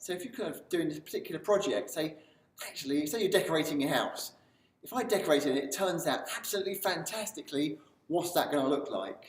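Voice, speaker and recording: A man talks very fast with a high voice and lively intonation. Noticeable background noise runs behind him. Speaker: self-help video presenter. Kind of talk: motivational talk to camera. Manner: animated.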